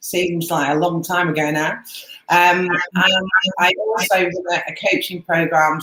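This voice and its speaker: Her voice carries a British accent and a fairly low pitch. This woman's intonation stays fairly even. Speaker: Amazon seller and coach. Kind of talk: webinar presentation.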